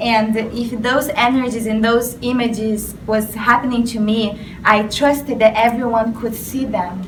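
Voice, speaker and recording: The voice is monotone and flat with hardly any pauses, heard through audible room echo and noticeable background noise. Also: woman, fairly high pitch for a woman, fairly slow pace. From Brazil. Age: young. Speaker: spiritual artist. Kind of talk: interview.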